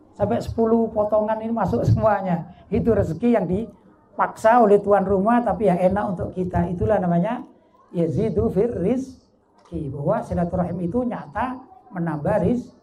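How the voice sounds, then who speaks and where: Over noticeable background noise, a man's high-pitched voice carries with audible room echo. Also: ordinary pitch variation, moderate pace. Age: 50s. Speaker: Islamic preacher. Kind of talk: sermon. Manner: conversational, engaging audience.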